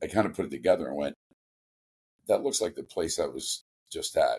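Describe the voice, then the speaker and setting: A man with a New York accent talks at a moderate pace with long, frequent pauses, in a dry, close sound with no echo. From New York City, Washington Heights. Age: 40s. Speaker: hockey commentator and youth coach. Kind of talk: casual interview.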